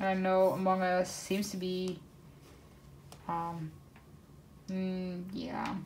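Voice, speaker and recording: Amid audible room echo, a woman at a medium pitch speaks very slowly with monotone, flat intonation and long, frequent pauses. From northern Netherlands, Groningen. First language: Dutch. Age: 20s. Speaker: craft YouTuber. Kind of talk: casual chat. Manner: hesitant, many fillers.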